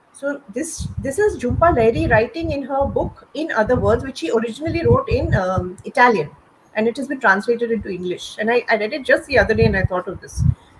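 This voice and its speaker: A woman speaks at a very fast pace in a high pitch with very wide pitch swings. Noticeable background noise is present. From India. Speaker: writer. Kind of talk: panel conversation. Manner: halting.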